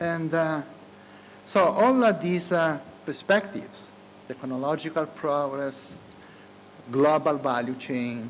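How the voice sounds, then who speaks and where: With an Italian accent, a man with a fairly high pitch and lively intonation speaks at a very slow pace with long, frequent pauses and audible room echo. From Italy. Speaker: economics professor. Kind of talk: conference keynote speech. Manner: hesitant, many filler sounds.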